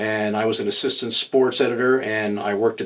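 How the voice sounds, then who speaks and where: Speaking at a fairly quick pace, a man with an ordinary speaking voice keeps a medium pitch with ordinary pitch variation. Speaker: newspaper editor, former sports editor. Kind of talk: interview.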